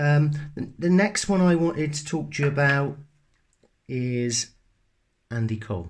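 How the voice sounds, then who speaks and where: A man in a Bristol accent talks at a fairly high pitch and fairly slow pace, with lively intonation. His voice is somewhat breathy, and he leaves long, frequent pauses. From England, Bristol. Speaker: sports card collector YouTuber. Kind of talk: casual show-and-tell video. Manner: hesitant, many fillers and restarts.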